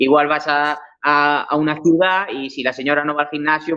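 A man with an ordinary speaking voice at a fairly quick pace. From Galicia, Spain (Cambre, A Coruña). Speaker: painter and muralist. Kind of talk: interview.

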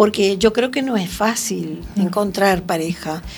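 A woman's very slow speech with lively intonation. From Uruguay, Montevideo. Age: 70s. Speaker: retired poet and writer. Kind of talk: radio interview.

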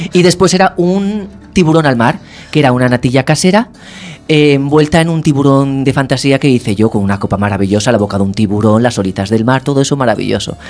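Lively intonation runs through a man's medium-pitched voice. He speaks at a very fast pace with very even loudness. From Castellón, Spain. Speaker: musician. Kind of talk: interview. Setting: studio.

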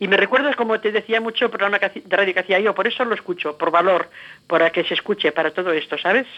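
Very fast and at a very even loudness, a woman speaks with a medium pitch. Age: 70s. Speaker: former radio host, activist. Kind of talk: interview.

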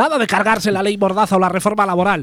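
A man talks at a very fast pace. His voice is high-pitched. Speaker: community radio comedy host. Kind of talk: casual comedic chat.

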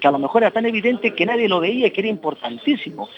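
This man talks very fast, with noticeable background noise in the recording. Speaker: local councillor for motor activities. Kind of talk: interview. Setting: café, remote broadcast. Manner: talkative.

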